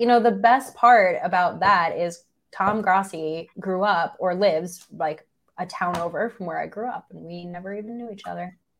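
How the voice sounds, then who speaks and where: A woman with an American accent speaks at medium pitch. Her pace is moderate, with big swings in loudness. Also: ordinary pitch variation. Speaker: sports podcast host. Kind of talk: casual chat.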